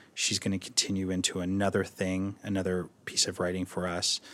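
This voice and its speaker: A man speaks with an Ontario accent. His pitch is very deep and low. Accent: Canadian (Ontario). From Ontario, Canada (Toronto suburbs). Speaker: theatre designer. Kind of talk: interview. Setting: library of a theatre.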